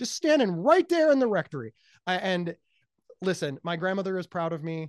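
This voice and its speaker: An animated tone comes through with an American accent over a quiet background. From Ohio. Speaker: speaker, author and mental health advocate. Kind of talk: casual interview chat. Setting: phone or remote call. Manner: high-energy, loud, animated.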